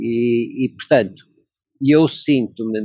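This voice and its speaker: A male voice with ordinary pitch variation. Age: 60s. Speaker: logistics worker. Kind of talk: interview. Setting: video call.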